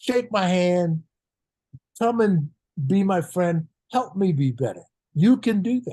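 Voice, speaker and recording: At a fairly slow pace, a man speaks with a dark, mellow tone at a high pitch, swinging very widely in pitch and leaving long, frequent pauses. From US, Philadelphia. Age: 80s+. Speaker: retired basketball coach. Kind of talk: podcast interview.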